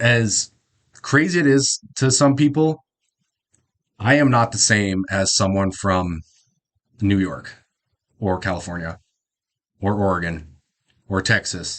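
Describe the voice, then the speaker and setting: Over a quiet background, a man with a Midwestern accent speaks at a fairly low pitch and a very slow pace, with long, frequent pauses. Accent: Midwest accent, Canadian-esque. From South Dakota, US Midwest. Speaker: YouTube reactor. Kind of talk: reaction commentary. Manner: casual, halting.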